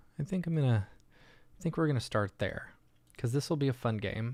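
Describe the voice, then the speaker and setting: A man speaks quietly at medium pitch with lively intonation while music plays in the background. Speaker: livestream host, 3D artist. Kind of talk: casual livestream tutorial. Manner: speaking quietly.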